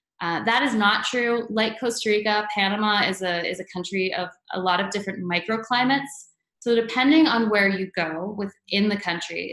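At a moderate pace, a bright, sharp voice with ordinary pitch variation carries audible room echo over a quiet background. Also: woman. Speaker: presenter. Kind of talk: webinar presentation. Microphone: webcam.

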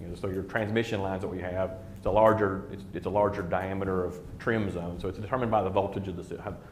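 A man talks fast in a low voice. His intonation stays fairly even.

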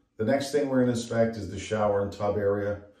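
A man's dark, mellow tone with fairly even intonation, some audible room echo and a quiet background. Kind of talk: tutorial. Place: bathroom. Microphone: phone near.

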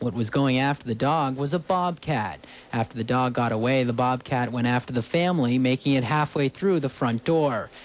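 With a normal speaking voice, a man talks at a moderate pace and medium pitch, with ordinary pitch variation, very even loudness and hardly any pauses. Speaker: TV news reporter. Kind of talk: TV news report.

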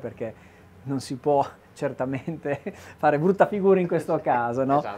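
This is a man speaking. His pace is fairly quick. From Emilia-Romagna, Modena; Emilia-Romagna. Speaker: TV host. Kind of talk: on-location food segment. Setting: farmhouse kitchen. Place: kitchen. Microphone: lapel.

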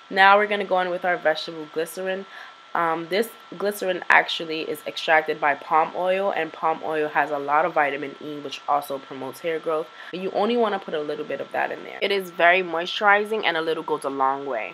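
At a fairly quick pace, a woman talks in a fairly low pitch with ordinary pitch variation over light background noise. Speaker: beauty vlogger. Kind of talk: tutorial. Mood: upbeat, playful. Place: kitchen.

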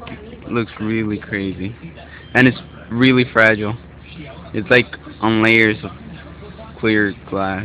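A man's fairly low voice at a very slow pace, with long, frequent pauses, fairly even intonation, dry sound with no echo, and light background noise. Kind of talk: casual vlog chat. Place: home room.

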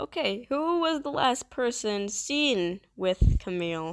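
With an animated tone and very wide pitch swings, a woman speaks in a dry, close sound with no echo. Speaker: gaming streamer. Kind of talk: gameplay commentary, casual. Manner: animated, halting with restarts.

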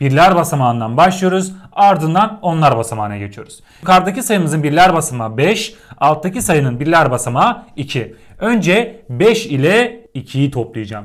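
A man at a moderate pace, his pitch swinging very widely, against a quiet background. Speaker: teacher. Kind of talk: lecture. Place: home room. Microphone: lapel.

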